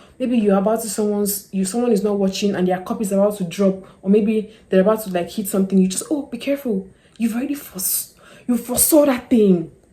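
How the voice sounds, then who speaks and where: A woman talks very fast at a medium pitch with ordinary pitch variation, over noticeable background noise. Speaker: lifestyle YouTuber. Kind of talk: casual talk-to-camera advice. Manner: animated.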